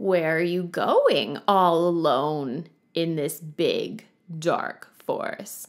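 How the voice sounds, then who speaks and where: A woman growls at a very slow pace in a put-on character voice with a fairly low pitch. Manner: menacing, grinning.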